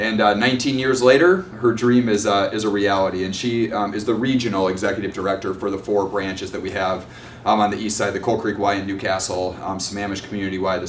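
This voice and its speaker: A man with a Minnesotan accent and a fairly low pitch talks at a very fast pace with fairly even intonation, amid noticeable background noise and audible room echo. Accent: Minnesota. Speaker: nonprofit executive director. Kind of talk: presentation at community meeting. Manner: halting, many fillers.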